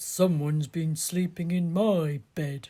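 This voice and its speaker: At a fairly slow pace, someone uses a put-on character voice pitched in the middle range. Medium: read story.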